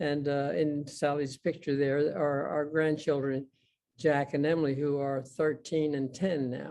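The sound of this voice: This man talks at a fairly slow pace with little pitch movement, a slightly mellow tone, and vocal fry. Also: fairly high pitch for a man.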